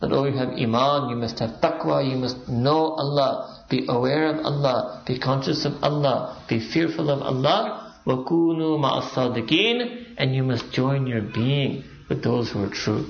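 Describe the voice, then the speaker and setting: Against noticeable background noise and audible room echo, a man with a fairly high pitch and lively intonation speaks at a moderate pace with hardly any pauses. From Pakistan. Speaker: Islamic preacher. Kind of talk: religious lecture.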